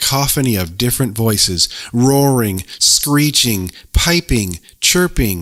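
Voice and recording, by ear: With lively intonation, a natural voice reads the text aloud.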